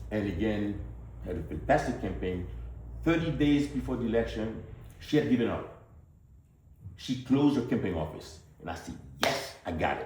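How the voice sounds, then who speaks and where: In a strong Haitian accent, a man with a fairly low pitch and vocal fry talks at a moderate pace, his pitch swinging very widely, with long, frequent pauses and audible room echo. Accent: Haitian, heavy. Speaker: politician, physician. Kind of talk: campaign speech to town hall audience.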